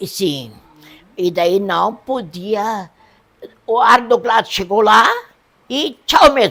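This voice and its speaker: Pausing often and at length, a woman with a fairly high pitch and lively intonation talks at a very slow pace. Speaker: elderly local resident interviewed. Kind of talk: oral history interview.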